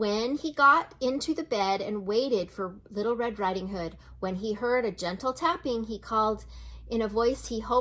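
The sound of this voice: The speaker uses an unforced reading voice. Pitch variation is ordinary.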